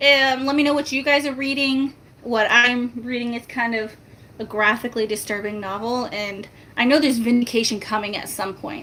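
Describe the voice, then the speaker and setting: Against noticeable background noise, a woman speaks at a moderate pace in a high pitch with ordinary pitch variation. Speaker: YouTuber. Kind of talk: casual livestream chat. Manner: soft-spoken.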